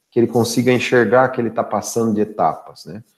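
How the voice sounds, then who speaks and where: A man's unremarkable speaking voice at a medium pitch and a fairly quick pace. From interior of São Paulo state, Brazil (São Carlos). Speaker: sales director. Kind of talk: live-stream interview.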